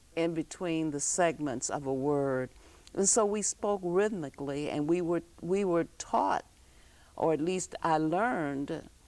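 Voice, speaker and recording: A woman speaks at a fairly slow pace in a fairly low pitch, with an unremarkable speaking voice and ordinary pitch variation. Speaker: talk show host; former elementary school teacher. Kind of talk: interview show conversation.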